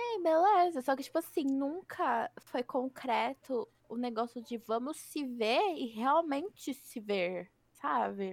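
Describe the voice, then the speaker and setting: A woman speaks very slowly at a high pitch with very wide pitch swings. The sound is dry and close, with no echo. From Brazil, Osasco (São Paulo area). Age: 20s. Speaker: podcast co-host. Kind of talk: casual chat. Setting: home recording, not a studio.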